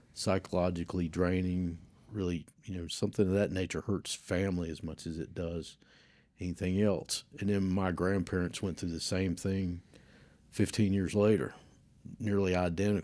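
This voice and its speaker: A man's very deep, low voice with a Southern US accent, dark and mellow in tone, monotone and flat, on a very clean recording with a silent background. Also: moderate pace. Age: 60s. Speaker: church member. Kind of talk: testimony.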